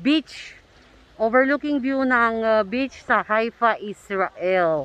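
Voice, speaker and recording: A woman's high-pitched voice with a bright, sharp tone and ordinary pitch variation comes through in a dry sound with no echo. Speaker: vlogger. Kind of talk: casual vlog chat. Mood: cheerful, playful. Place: open country. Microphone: phone near.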